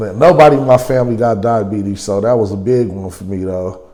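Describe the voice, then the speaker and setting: Speaking at a moderate pace in an American accent, a man with a fairly low pitch and a dark, mellow tone shows ordinary pitch variation amid audible room echo. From California. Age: 40s. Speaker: interviewee, recovering gambling addict. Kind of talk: documentary interview. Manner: casual, slangy.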